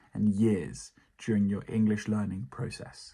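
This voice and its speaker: A man speaks in a British accent with a fairly low pitch. The recording is very clean, with a silent background. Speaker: English teacher. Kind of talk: educational talk to camera.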